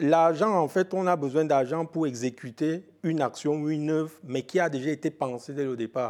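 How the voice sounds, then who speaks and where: A man with an ordinary speaking voice, fairly high in pitch and with ordinary pitch variation, talks at a moderate pace on a very clean recording with a silent background. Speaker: film expert and trainer. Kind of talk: radio interview.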